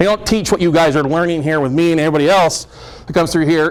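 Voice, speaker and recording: A man speaks loudly at a pitch that is high for a man. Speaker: real estate note investor and speaker. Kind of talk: seminar presentation. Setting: meeting room with audience. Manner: fast.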